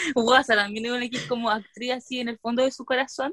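Talking at a fairly quick pace, a woman with a Chilean accent and fairly high pitch keeps a fairly even intonation in a dry, close sound with no echo. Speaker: podcast co-host. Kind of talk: casual chat.

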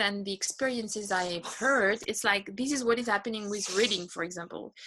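With a French accent, a woman speaks at a medium pitch. Her pitch varies in an ordinary way. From France. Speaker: unschooling mother and traveler. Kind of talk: interview conversation. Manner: hesitant, with fillers.

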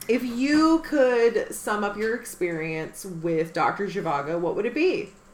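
Over noticeable background noise, a woman speaks at a fairly slow pace with hardly any pauses, her fairly high pitch moving in very wide swings. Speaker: podcast co-host. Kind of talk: casual chat.

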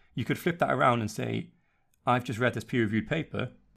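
Speaking at a very fast pace, a man uses a medium pitch with vocal fry. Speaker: podcast host and researcher. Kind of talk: casual panel discussion. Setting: online remote recording.

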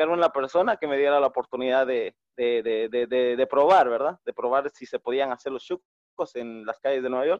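A man talks in a plain, everyday voice with ordinary pitch variation. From Guatemala, Quiché. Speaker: street food vendor. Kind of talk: personal testimony.

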